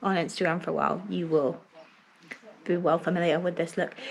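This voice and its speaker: A woman speaks with a southern English accent. Background noise is noticeable. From England. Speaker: family vlogger. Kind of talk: casual vlog talk. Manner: whispering.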